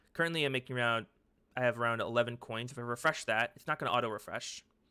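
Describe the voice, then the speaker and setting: A man's medium-pitched voice at a very fast pace, bright and sharp in tone, with fairly even intonation, on a very clean recording with a silent background. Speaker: tech youtuber. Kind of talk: tutorial. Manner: halting, stuttering; casual.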